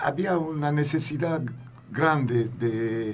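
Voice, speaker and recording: A man talks at a very slow pace with ordinary pitch variation. Noticeable background noise and audible room echo are present. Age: 60s. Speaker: genocide research institute member. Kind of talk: interview. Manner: halting.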